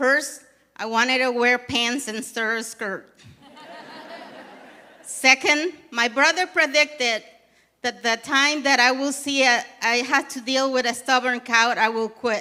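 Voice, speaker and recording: A woman's raised, projected voice in a Panamanian accent, high in pitch and fairly even in intonation, at a fairly slow pace with long, frequent pauses. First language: Spanish. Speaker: program coordinator. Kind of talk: live storytelling performance. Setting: theatre stage.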